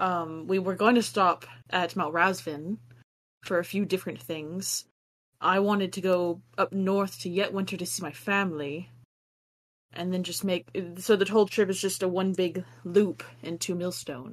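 A woman with an unremarkable speaking voice talks at a moderate pace and medium pitch. Her intonation is fairly even. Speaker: tabletop game player. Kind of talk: tabletop roleplaying game session.

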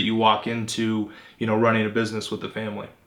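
A man with an American accent speaks very fast, with noticeable background noise behind him. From Phoenix, Arizona. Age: 20s. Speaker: podcast host interviewing entrepreneurs. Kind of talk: interview.

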